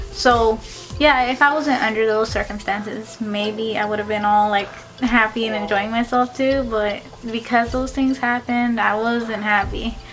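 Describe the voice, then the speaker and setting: A woman speaks in a flat, monotone way with music in the background. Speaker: college student. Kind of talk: casual talk to camera. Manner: slow.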